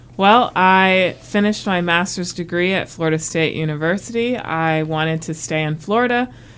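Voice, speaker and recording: With an American accent, a woman speaks in an ordinary speaking voice at a fairly low pitch and a moderate pace, with ordinary pitch variation and hardly any pauses. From US South, South Carolina (military brat). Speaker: marine scientist, education program coordinator. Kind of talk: casual interview. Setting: studio, wearing a mask.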